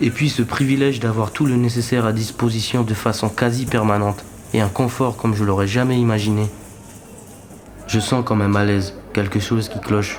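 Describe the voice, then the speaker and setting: Over noticeable background noise, the speech comes at a moderate pace with monotone, flat intonation. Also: man, medium pitch for a man. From French Guiana. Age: 20s. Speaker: documentary narrator. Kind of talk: scripted narration. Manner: reflective.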